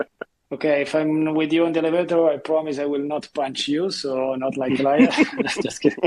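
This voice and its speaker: The man has an Italian accent and a fairly high pitch. His intonation stays fairly even as he moves at a fairly quick pace. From Italy. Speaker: seascape photographer. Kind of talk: casual chat.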